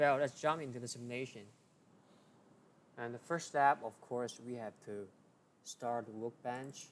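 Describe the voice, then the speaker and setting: A man at a medium pitch speaks at a moderate pace with fairly even intonation. His loudness swings widely, and his pauses are long and frequent. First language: not English. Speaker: engineering tutorial creator. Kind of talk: tutorial.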